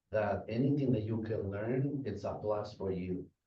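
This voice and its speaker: A somewhat breathy man with a Spanish accent speaks at a fairly slow pace. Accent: Spanish accent, rough. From Guatemala. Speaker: restaurant manager. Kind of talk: public talk at community meeting. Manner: halting.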